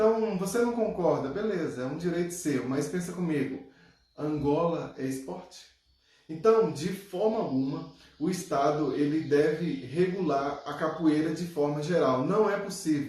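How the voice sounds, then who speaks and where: A man speaks at a fairly slow pace with a fairly high pitch. There is audible echo in the room. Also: ordinary pitch variation. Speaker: capoeira commentator. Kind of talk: video monologue.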